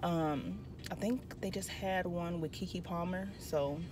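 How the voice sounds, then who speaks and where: A woman's fairly low voice with ordinary pitch variation, dry and echo-free, over noticeable background noise. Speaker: vlogger. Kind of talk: casual vlog chat. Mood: relaxed, chatty. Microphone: phone near.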